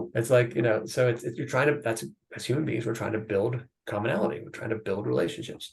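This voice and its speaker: A man with an American accent talks at a very fast pace, his medium-pitched voice somewhat breathy and showing ordinary pitch variation. His loudness swings a lot. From United States. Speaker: biotech CEO and investor. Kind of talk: podcast interview.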